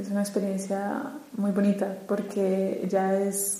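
At a very slow pace, a woman of medium pitch speaks with a Colombian accent against noticeable background noise. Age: 30s. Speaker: lawyer, retreat participant.

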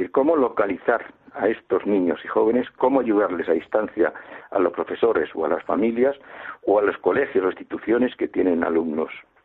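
The man's loudness rises and falls sharply. He talks fairly quickly. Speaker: charity president, retired, blind. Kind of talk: radio interview.

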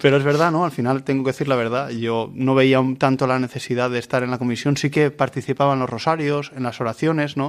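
At a very fast pace with hardly any pauses, a man speaks at medium pitch with monotone, flat intonation. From Valencia region, Spain (Vilamarchant). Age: 30s. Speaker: seminarian. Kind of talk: radio interview. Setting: radio recording in a seminary.

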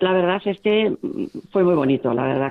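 The voice belongs to a woman. She talks at a fairly quick clip. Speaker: volunteer group coordinator. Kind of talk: interview.

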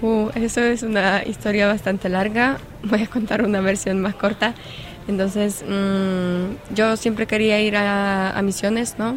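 Over noticeable background noise, a woman speaks fairly slowly at a medium pitch in a monotone, flat intonation with very even loudness. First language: Polish (speaking Spanish). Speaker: volunteer coordinator. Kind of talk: interview. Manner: halting.

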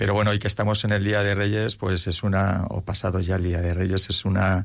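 Somewhat breathy, a man speaks with a very deep, low pitch and fairly even intonation. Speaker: army officer. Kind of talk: interview. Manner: halting, many repetitions.

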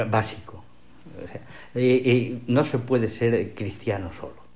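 This man has a medium pitch and speaks at a fairly slow pace. Audible room echo surrounds his voice. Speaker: literature professor. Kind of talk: radio interview.

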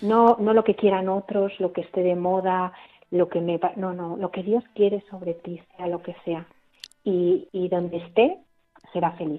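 A woman with an ordinary speaking voice talks at a fairly slow pace, medium in pitch, with fairly even intonation. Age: 40s. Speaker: nun and nurse. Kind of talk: radio interview testimony.

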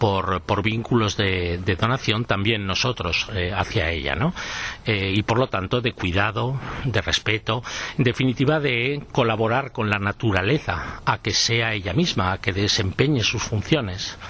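Noticeable background noise surrounds a man talking at a fairly slow pace. His fairly low voice shows ordinary pitch variation. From Aragón, Spain. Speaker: forestry and environmental expert. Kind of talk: radio interview.

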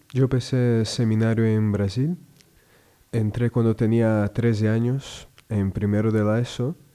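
With a Portuguese accent, a man speaks at a fairly slow pace in a medium pitch, his tone dark and mellow, his intonation fairly even and his loudness very even, on a very clean recording with a silent background. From southern Brazil, Rio Grande do Sul. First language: Portuguese (speaking Spanish). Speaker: religious brother working at a school. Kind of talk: radio interview. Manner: halting, frequent repetitions.

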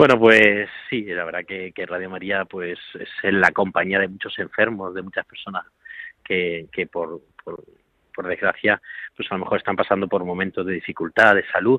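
Using a plain, everyday voice, a man talks at a moderate pace in a fairly low pitch, with fairly even intonation but big swings in loudness. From Spain (Toledo province). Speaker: priest, care home director. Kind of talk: radio interview.

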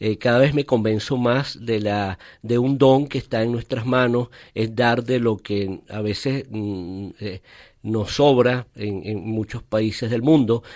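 The delivery is very slow, with fairly even intonation. The recording is very clean with a silent background. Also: man, medium pitch for a man. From Venezuela (Caracas, raised in Valencia). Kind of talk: interview. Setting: studio. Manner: halting.

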